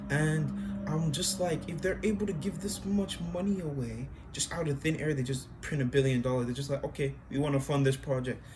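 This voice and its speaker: Over music in the background, the speaker moves at a fairly quick pace with ordinary pitch variation. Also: man, fairly high pitch for a man. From Nigeria. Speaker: college student. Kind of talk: casual chat.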